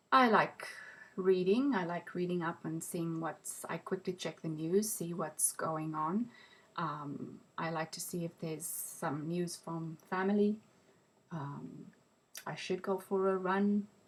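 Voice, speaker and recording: A woman speaks very slowly in a fairly low voice. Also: ordinary pitch variation. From South Africa (Pretoria). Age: 40s. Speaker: interviewee. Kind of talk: interview. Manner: hesitant, many ums.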